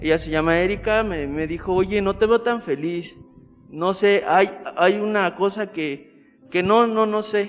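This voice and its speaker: With a central Mexican accent, a man speaks at a fairly slow pace in a high pitch with ordinary pitch variation. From central Mexico, State of Mexico. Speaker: Salesian religious aspirant. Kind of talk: casual interview.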